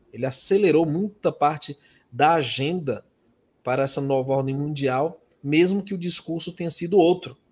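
A somewhat breathy man's voice, fairly high in pitch, with ordinary pitch variation at a moderate pace. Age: 40s. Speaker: religious YouTuber. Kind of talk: religious discussion livestream.

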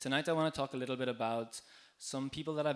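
This man has a fairly high pitch and an Irish accent, keeping his intonation fairly even. The recording is very clean and the background silent. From Ireland. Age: 20s. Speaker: EU worker and volunteer speaker. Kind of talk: live talk to bar audience. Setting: stage in a bar with audience.

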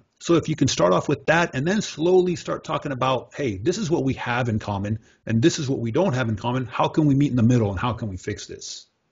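This man talks at a very fast pace with hardly any pauses, his voice medium in pitch and somewhat breathy. His intonation is lively. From Mexico. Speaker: podcast host. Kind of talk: casual chat.

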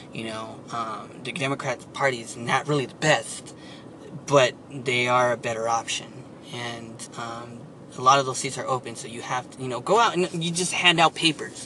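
A man with an American accent talks at a moderate pace and a medium pitch. His loudness swings widely, and noticeable background noise is present. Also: ordinary pitch variation. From San Antonio, Texas. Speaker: political activist and writer. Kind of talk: interview. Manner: halting.

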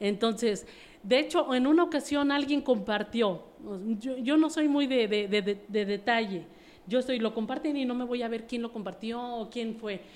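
A woman speaks in a plain, everyday voice at a moderate pace, her pitch fairly high with ordinary variation. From Mexico City. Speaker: network marketing distributor. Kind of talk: interview.

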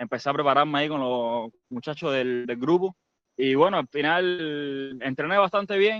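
It is an ordinary speaking voice, a man's and fairly high-pitched, at a moderate pace. The sound is dry and close with no echo over a quiet background. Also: ordinary pitch variation. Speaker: amateur runner. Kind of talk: casual chat. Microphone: speaking through a borrowed phone.

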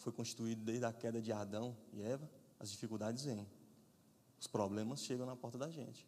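Audible room echo carries a man's dark, mellow voice at a medium pitch, his intonation fairly even. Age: 30s. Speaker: guest preacher. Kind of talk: sermon.

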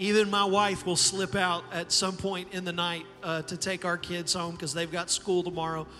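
The speech moves at a moderate pace with hardly any pauses. Its intonation is monotone and flat, with noticeable background noise. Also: man, high pitch for a man. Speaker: pastor. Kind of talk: church service introduction and prayer. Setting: church with live audience.

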